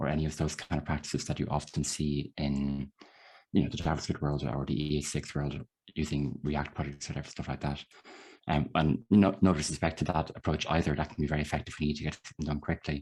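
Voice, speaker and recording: A man with an Irish accent and a very deep, low pitch, very fast and fairly even in intonation, faint music in the background. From Ireland. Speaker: software developer. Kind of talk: lecture.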